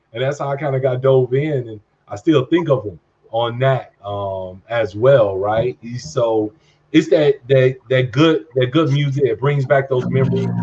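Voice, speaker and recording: This man, with an American accent, speaks fairly slowly at a medium pitch with ordinary pitch variation, his somewhat breathy voice dark and mellow in tone. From Chicago, west side. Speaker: podcast co-host. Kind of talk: casual chat.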